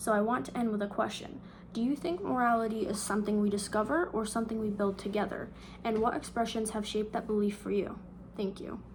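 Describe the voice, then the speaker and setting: The speech moves at a fairly quick pace with fairly even intonation. Room echo is audible. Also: woman. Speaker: student. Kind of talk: reading aloud.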